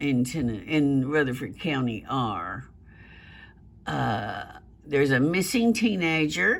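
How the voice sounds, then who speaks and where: In a Southern US accent, the speaker talks at a very slow pace with long, frequent pauses. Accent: Southern US country. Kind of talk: casual news commentary to camera. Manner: hesitant, conversational.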